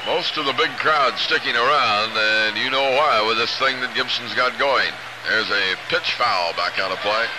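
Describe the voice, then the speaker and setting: A man's energetic delivery at a moderate pace, very even in loudness, against loud background noise. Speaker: baseball radio announcer. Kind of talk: live sports commentary. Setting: stadium broadcast booth. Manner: brisk, energetic play-by-play. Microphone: old recording.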